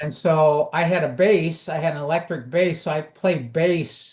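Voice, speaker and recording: The speaker is a man whose voice is somewhat breathy. He talks at a fairly slow pace. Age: 70s. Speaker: composer and arranger, channel host. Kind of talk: casual chat. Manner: halting, many fillers and repeated words.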